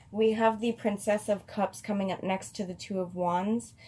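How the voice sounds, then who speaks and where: A somewhat breathy woman speaks at a medium pitch and a moderate pace, dark and mellow in tone with ordinary pitch variation. The recording is very clean with a silent background. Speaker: tarot reader. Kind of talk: tarot reading to camera. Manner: slurring; casual, hesitant with fillers.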